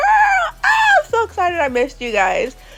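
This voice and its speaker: A woman's voice with very wide pitch swings over music in the background. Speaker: hair braider. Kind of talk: tutorial voiceover. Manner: casual, chatty.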